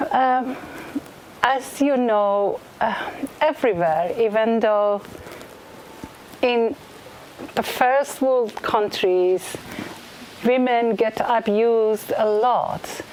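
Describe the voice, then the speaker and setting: Speaking at a very slow pace, a woman uses a fairly high pitch, ordinary pitch variation, and very even loudness. Long, frequent pauses break up her speech, and noticeable background noise is present. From Iran. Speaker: blind singer. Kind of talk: spoken introduction before a concert. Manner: halting, many fillers.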